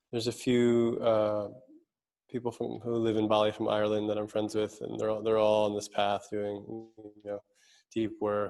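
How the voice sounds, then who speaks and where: A man with a New York accent, a dark, mellow tone and fairly low pitch, monotone, flat intonation at a moderate pace, on a very clean recording with a silent background. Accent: New York American. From US, New York City. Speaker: speaker and mentor. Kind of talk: interview conversation.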